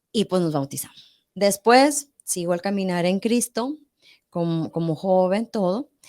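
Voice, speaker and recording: A woman's medium-pitched voice with lively intonation at a fairly slow pace, in a dry, close sound with no echo. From northern Mexico, Monterrey. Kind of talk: testimony in a podcast interview.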